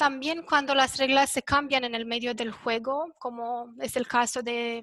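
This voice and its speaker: A woman's high, bright and sharp voice with a non-native accent, fairly slow and monotone, against a quiet background. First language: not Spanish (speaking Spanish). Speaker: panelist on elections. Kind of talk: presentation at a round table. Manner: halting, many fillers.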